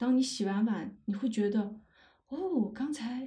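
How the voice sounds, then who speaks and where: A woman speaks in a fairly high, somewhat breathy voice with a dark, mellow tone. Her pace is moderate and her pitch variation ordinary. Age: 30s. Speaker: podcaster, anthropology PhD student. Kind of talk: casual livestream talk. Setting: livestream.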